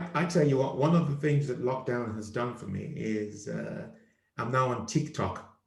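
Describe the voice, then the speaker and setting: A man with an African accent, medium pitch, vocal fry, ordinary pitch variation and a moderate pace, in audible room echo. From Nigeria. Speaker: comedian, show host. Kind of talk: casual chat.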